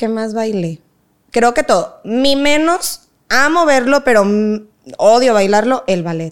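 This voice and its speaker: Her voice high-pitched with very wide pitch swings, a woman speaks at a very slow pace with long, frequent pauses. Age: 20s. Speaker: dance teacher and academy founder. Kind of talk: casual interview.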